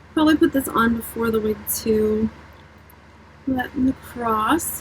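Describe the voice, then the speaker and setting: Soft-spoken and fairly high-pitched, a woman talks at a fairly slow pace with ordinary pitch variation over noticeable background noise. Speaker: beauty vlogger. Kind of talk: casual makeup tutorial chat.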